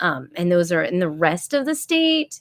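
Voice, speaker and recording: A woman speaks with a fairly low pitch in a dry, close recording that has no echo. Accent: Florida. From US South, Florida (Tampa area). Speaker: homeschooling YouTuber, former teacher. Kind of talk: solo live stream chat. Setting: live stream. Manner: rambling, filler-heavy.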